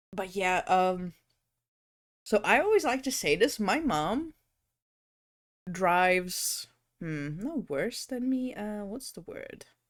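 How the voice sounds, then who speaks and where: Speaking very slowly with long, frequent pauses, a woman with a non-native accent and medium pitch shows very wide pitch swings and big swings in loudness on a very clean recording with a silent background. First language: not English. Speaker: VTuber streamer. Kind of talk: casual chat. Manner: animated.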